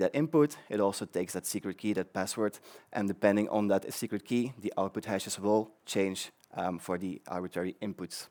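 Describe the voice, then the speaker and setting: In a very clean recording with a silent background, a man speaks with a Flemish accent and a dark, mellow tone. The sound is dry and close, with no echo. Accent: Belgian (Flemish) English. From Belgium. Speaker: conference speaker, developer advocate. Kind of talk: tech conference talk. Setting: stage with audience. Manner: fast; many filler ums and repetitions.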